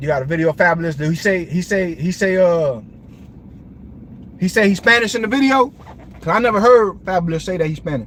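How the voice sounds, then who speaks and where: A high-pitched man with an American accent talks at a very fast pace, animated and with lively intonation. Long, frequent pauses break it up, over noticeable background noise. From Brooklyn, New York. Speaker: livestream host. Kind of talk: casual livestream talk.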